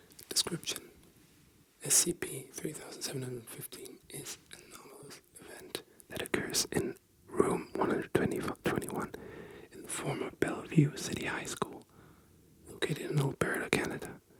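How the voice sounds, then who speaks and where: Whispering at a moderate pace, a man shows big swings in loudness over noticeable background noise. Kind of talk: ASMR bedtime reading. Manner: soft-spoken.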